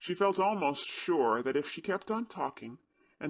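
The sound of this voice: In an unforced reading voice, the speaker reads with lively intonation against a quiet background.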